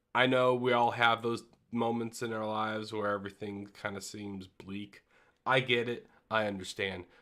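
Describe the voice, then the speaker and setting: A man speaks at a moderate pace with fairly even intonation. The recording is very clean, with a silent background. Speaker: gaming podcast host. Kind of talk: livestream podcast monologue. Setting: live stream, solo. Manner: loud; halting, many fillers.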